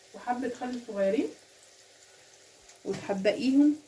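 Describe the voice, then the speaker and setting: A woman speaks with an Egyptian accent. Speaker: cooking channel host. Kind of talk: cooking tutorial. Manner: casual.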